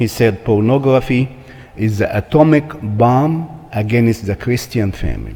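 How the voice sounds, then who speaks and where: A man speaks at a medium pitch with a non-native accent. His pitch varies in an ordinary way, and his pace is fairly slow. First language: not English. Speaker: church marriage seminar speaker. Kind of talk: seminar talk.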